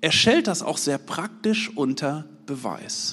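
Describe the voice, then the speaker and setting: This man's pitch rises and falls across a very wide range. He talks very slowly. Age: 40s. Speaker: lay preacher. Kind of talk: sermon.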